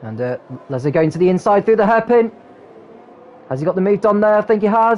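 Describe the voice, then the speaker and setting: Noticeable background noise surrounds a man with a high pitch and lively intonation. He talks very fast yet leaves long, frequent pauses. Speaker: motorsport commentator. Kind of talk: motorsport race commentary. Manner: fast, excited, energetic race-call delivery.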